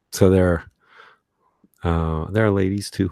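Recorded very cleanly against a silent background, a man speaks with fairly even intonation in a dry, close sound with no echo. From US West Coast, Los Angeles. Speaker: journalist. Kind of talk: interview. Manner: halting.

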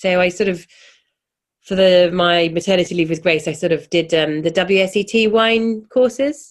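A woman with a southern English accent talks at a moderate pace, her pitch fairly low with ordinary variation. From England, London. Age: 40s. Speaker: chef and cookbook author. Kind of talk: casual chat.

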